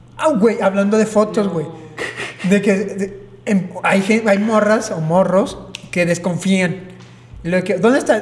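At a very slow pace, a man speaks at a high pitch with ordinary pitch variation and long, frequent pauses over noticeable background noise. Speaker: podcast co-host. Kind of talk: casual chat.

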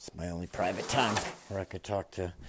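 A man speaks with a Massachusetts accent. Noticeable background noise can be heard. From Massachusetts, suburbs of Boston. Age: 30s. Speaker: farmer and military veteran podcaster. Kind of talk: casual monologue. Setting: barn while cleaning stalls.

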